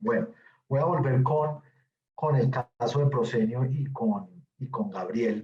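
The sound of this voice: At a fairly slow pace, a man talks at a medium pitch with ordinary pitch variation.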